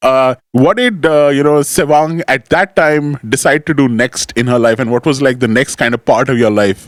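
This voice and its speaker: A man's normal speaking voice at medium pitch and moderate pace, with hardly any pauses, very even loudness and ordinary pitch variation, dry and close with no echo. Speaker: talk show host. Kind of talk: casual interview chat.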